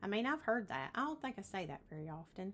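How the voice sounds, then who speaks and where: A woman speaks in a Southern accent. Her pitch is medium and her pace fairly quick. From Tennessee. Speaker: realtor. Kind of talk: casual explainer video. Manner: chatty with frequent fillers.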